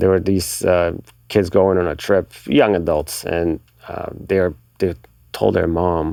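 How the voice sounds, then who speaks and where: With a Bulgarian accent, a man speaks at a very slow pace in a very deep, low voice with a dark, mellow tone. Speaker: magazine marketing director. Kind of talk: casual interview chat. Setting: recording studio.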